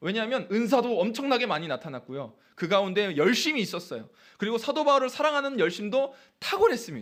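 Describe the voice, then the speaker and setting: A man with a high pitch and lively intonation is heard in a very clean recording against a silent background. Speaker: pastor. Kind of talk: sermon. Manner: fast.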